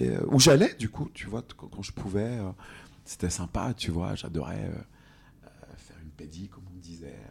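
Speaking at a fairly slow pace, a man uses a very deep, low pitch with vocal fry and very wide pitch swings. His loudness swings widely, and he leaves long, frequent pauses. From France, Franche-Comté. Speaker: cosmetics brand co-founder. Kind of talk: interview. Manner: halting.

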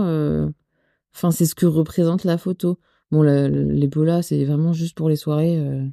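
Her voice is very deep and low, with a dark, mellow tone. The woman speaks at a fairly slow pace in a dry, close sound with no echo. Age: 20s. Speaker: wedding photographer. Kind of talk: casual interview.

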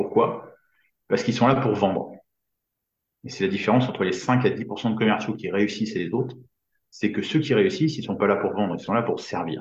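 Medium in pitch and somewhat breathy, a man talks at a moderate pace with ordinary pitch variation. Audible room echo surrounds his voice. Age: 50s. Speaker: business coach for entrepreneurs. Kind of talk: casual interview.

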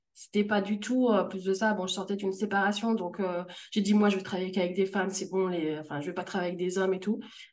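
A woman of medium pitch speaks at a very fast pace with fairly even intonation. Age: 30s. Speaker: freelance customer care manager. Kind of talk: interview testimony.

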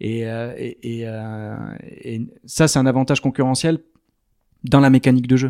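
A man talks at a fairly slow pace with long, frequent pauses, a medium pitch and fairly even intonation. His tone is dark and mellow, his loudness swings widely, and the sound is dry and close with no echo. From France, Arcachon basin (southwest). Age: 30s. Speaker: startup co-founder. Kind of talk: interview. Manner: hesitant, many fillers.

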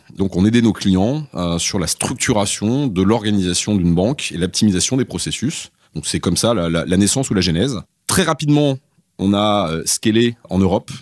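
A man with a normal speaking voice, fairly low in pitch, talks at a moderate pace with lively intonation on a very clean recording with a silent background, the sound dry and close with no echo. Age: 40s. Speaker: company CEO. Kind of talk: interview. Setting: in person at guest's office.

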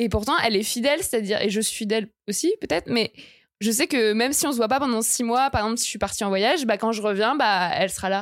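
A woman's fairly high voice at a very fast pace, with ordinary pitch variation, on a very clean recording with a silent background. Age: 20s. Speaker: journalist and feminist activist. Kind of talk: casual interview.

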